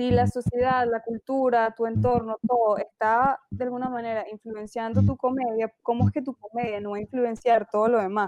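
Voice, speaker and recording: A woman's fairly high voice at a moderate pace, flat and monotone, with hardly any pauses. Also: dry, close sound with no echo. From Venezuela. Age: 20s. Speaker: film student. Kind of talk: casual chat.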